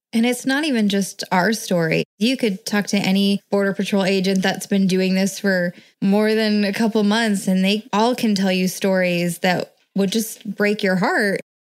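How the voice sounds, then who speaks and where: A normal speaking voice moves at a moderate pace with fairly even intonation and very even loudness. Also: woman, medium pitch for a woman. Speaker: wife of a border patrol agent. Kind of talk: interview.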